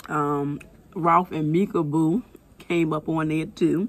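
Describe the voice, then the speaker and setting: A woman speaks with a very deep, low pitch. There is light background noise. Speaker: mukbang vlogger. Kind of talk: casual vlog chat. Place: office. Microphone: phone near.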